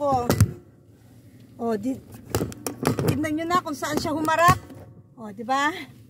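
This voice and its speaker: A woman talks in a high pitch. There is noticeable noise in the background. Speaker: vlogger. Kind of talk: casual vlog chat. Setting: in a car.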